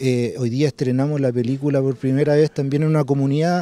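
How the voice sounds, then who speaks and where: A man speaks at a fairly quick pace with a dark, mellow tone, and the sound is dry with no echo. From Chile, Santiago (Conchalí); Chile. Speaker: documentary filmmaker. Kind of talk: interview; interview answer. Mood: calm, reflective. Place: garden. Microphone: handheld.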